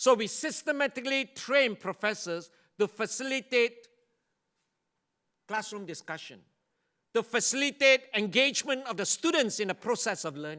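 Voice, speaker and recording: On a very clean recording with a silent background and a dry, close sound with no echo, a high-pitched man uses a raised, projected voice with a bright, sharp tone, lively intonation, a moderate pace and long, frequent pauses. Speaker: university leader and education speaker. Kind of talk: conference keynote lecture.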